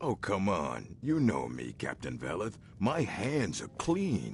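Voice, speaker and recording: Over clear background noise, a man puts on a character voice at a fairly low pitch, swinging very widely in pitch at a fairly slow pace. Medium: video game. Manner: menacing, blunt.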